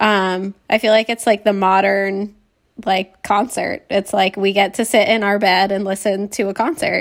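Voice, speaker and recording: The recording is very clean, with a silent background. A woman uses a normal speaking voice at a medium pitch, moderate pace and fairly even intonation. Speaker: podcast co-host. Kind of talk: casual chat.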